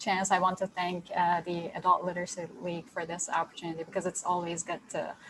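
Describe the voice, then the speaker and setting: Speaking at a medium pitch, a woman talks with a Turkish accent. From Turkey, Istanbul. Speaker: graduate student and teacher educator. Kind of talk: self-introduction in online training.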